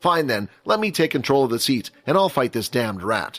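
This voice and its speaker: A man puts on a character voice at a medium pitch, talking at a fairly quick pace with very wide pitch swings. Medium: audio drama. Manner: rough, aggressive.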